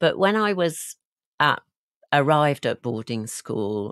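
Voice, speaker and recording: A woman with a slight Yorkshire accent, very deep, low pitch and very slow pace, dry, close sound with no echo, quiet background. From West Yorkshire, England (near Halifax). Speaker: leadership coach and guest. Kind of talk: interview, personal life story.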